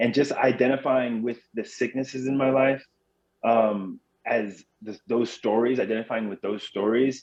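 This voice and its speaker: Moderate pace with fairly even intonation. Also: man, medium pitch for a man. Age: 30s. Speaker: mental health and sobriety advocate. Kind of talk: podcast interview. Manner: halting, with frequent repetitions.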